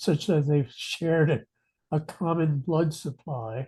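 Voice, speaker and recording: A man's fairly high, somewhat breathy voice with a dark, mellow tone against a quiet background. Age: 70s. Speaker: retired professor and aging researcher. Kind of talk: interview. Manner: halting.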